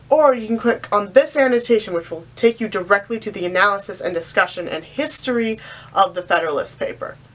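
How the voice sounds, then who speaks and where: A woman talks at a very fast pace and a fairly high pitch. Her intonation is lively, with big swings in loudness. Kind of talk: casual talk to camera.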